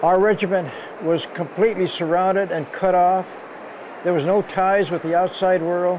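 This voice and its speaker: A man's high-pitched, monotone voice with flat intonation over noticeable background noise. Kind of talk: interview answer. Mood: earnest, reflective.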